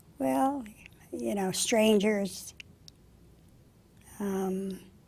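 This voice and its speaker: With an American accent, a woman at a medium pitch speaks with lively intonation in a room with audible echo. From US Northeast, local town. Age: 90s. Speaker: oral history interviewee. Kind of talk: oral history interview. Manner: halting.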